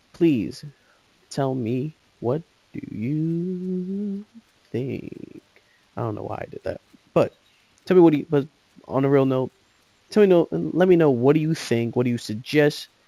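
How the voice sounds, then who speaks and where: Mumbling at a fairly slow pace with long, frequent pauses, a man with a fairly high pitch and dark, mellow tone shows lively intonation and big swings in loudness, in a dry, close sound with no echo. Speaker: gaming youtuber. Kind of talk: casual chat. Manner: halting.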